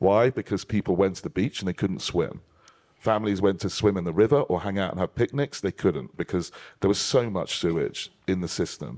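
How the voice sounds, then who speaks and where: In a British accent, a man with a fairly low pitch and ordinary pitch variation talks at a fairly quick pace, his sound dry and close with no echo on a very clean recording over a silent background. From United Kingdom. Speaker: panel moderator. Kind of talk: panel discussion. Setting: stage with audience.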